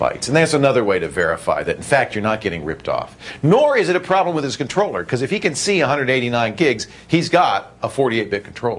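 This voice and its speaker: A man at a fairly quick pace, his pitch swinging very widely. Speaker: TV show host. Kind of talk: tutorial. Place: studio.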